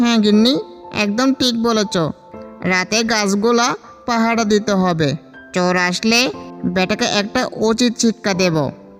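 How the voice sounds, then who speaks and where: Over clear music in the background, a man does a cartoonish character voice, high in pitch and at a fairly slow pace. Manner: fretful, exclamatory.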